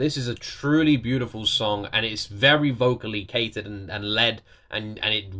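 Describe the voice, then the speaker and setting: A man talks at a fairly quick pace in a bright, sharp tone with lively intonation. The background is quiet. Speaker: reaction video host. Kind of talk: reaction commentary. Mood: impressed, enthusiastic. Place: home room.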